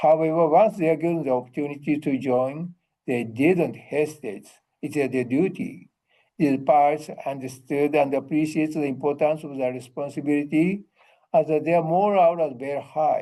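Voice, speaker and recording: With a Japanese accent, a man speaks at a moderate pace. His pitch is fairly high, with ordinary pitch variation. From Japan, Chiran (Kagoshima). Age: 80s+. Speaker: museum docent and retired army officer. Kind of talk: presentation.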